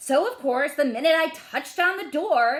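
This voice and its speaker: A woman puts on a character voice, pitched high. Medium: read story. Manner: conversational, self-justifying.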